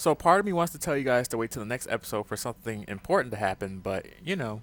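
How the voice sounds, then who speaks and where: At a very fast pace and with very wide pitch swings, the voice comes through in a very clean recording with a silent background and a dry, close sound with no echo. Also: man, medium pitch for a man. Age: young. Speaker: gaming youtuber. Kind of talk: let's play commentary. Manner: casual, bantering.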